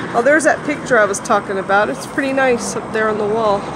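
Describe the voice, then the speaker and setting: The speaker moves along at a moderate pace. Noticeable background noise sits behind the voice. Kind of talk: casual exploration commentary. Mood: curious, mildly disgusted. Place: street. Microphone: phone near.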